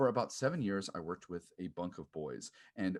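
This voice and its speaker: Here is a man with an American accent and an ordinary speaking voice, pitched fairly low. His intonation is lively. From US Upper Midwest. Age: 30s. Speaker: podcast host. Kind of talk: audition video monologue.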